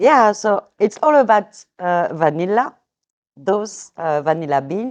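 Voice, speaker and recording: Speech in a French accent comes at a very slow pace with very wide pitch swings. The background is quiet. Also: woman. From France. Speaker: vanilla seller. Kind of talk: interview. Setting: outdoors.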